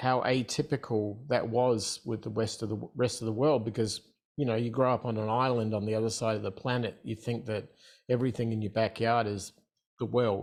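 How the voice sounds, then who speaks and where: A man with an Australian accent talks at a moderate pace and medium pitch. His intonation is fairly even, with a quiet background. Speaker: entrepreneur. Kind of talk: interview.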